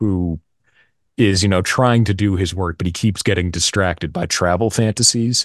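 This man talks at a moderate pace with a fairly low pitch and fairly even intonation. The background is quiet. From US Northeast, Massachusetts. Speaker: voice actor. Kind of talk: casual chat. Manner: talkative.

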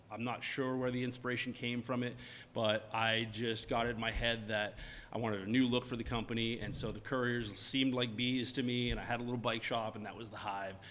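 In an American accent, a man talks at a moderate pace in a bright, sharp tone with fairly even intonation. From Maine, US. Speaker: craft fermented-beverage maker. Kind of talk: interview, casual chat. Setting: his tasting room.

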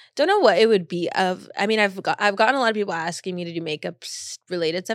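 A woman with an American accent speaks in an unremarkable speaking voice at a medium pitch, fairly quick and with lively intonation. The recording is very clean, with a silent background. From Long Beach, California. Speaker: content creator. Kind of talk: casual interview chat.

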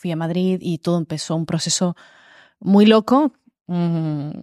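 Fairly low in pitch, a woman uses an ordinary speaking voice with ordinary pitch variation. The recording is very clean, with a silent background and a dry, close sound with no echo. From Málaga, Andalusia, Spain. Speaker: influencer and author. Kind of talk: casual chat.

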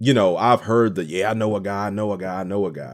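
His fairly low voice carries an animated tone, and the man's pitch varies in an ordinary way. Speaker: radio host and voiceover artist. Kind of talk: casual podcast monologue, storytelling. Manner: talkative, casual, animated.

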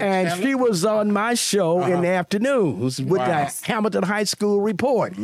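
Through noticeable background noise, a man with a high pitch talks with hardly any pauses and very even loudness. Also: lively intonation, fairly slow pace. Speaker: radio personality and pastor. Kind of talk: casual storytelling.

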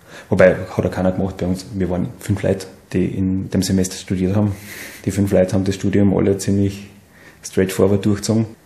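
Over noticeable background noise, a man with a very deep, low voice speaks at a fairly quick pace in a monotone, flat delivery. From Salzburg region, Austria (Seekirchen am Wallersee). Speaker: wood industry engineer, alumnus. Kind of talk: casual interview. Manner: halting, many fillers and repetitions.

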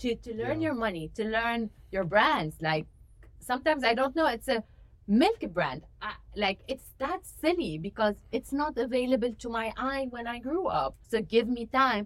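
A woman with a Lebanese accent speaks at a moderate pace, her fairly high pitch carrying lively intonation. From Lebanon. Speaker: graduate student and student forum president. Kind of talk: interview conversation.

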